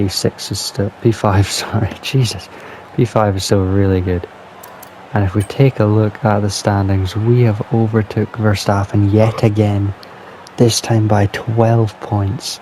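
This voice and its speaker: A man talks quietly at a fairly slow pace, his pitch fairly low and his intonation flat and monotone. Noticeable background noise sits behind him. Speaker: gaming youtuber. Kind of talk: gameplay commentary. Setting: at home at night.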